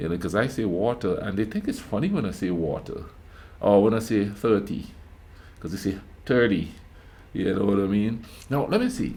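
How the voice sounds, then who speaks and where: A man with a strong Grenadian accent speaks at a moderate pace, with long, frequent pauses and audible room echo. His fairly low voice has a dark, mellow tone and ordinary pitch variation. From Grenada. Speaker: YouTube reactor. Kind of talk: reaction commentary. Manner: speaking carefully, proper; repeats words, stammering.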